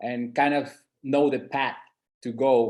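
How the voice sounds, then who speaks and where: Speaking in a flat monotone, a man talks with a non-native accent. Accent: noticeable non-native. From San Andres island, Colombia. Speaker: entrepreneur presenting market study. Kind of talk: webinar presentation.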